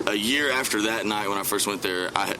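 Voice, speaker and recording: Over noticeable background noise, a man with an American accent talks at a moderate pace in a fairly low pitch. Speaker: country singer. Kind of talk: interview.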